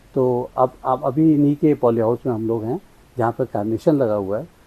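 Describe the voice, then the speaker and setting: Dry, close sound with no echo, carrying a dark, mellow tone. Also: man. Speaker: agriculture show host. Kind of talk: interviewer talk.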